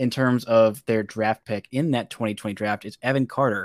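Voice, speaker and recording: In a very clean recording with a silent background, a man with an American accent speaks at a medium pitch with ordinary pitch variation. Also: dry, close sound with no echo. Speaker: podcast host. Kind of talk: casual chat, sports podcast.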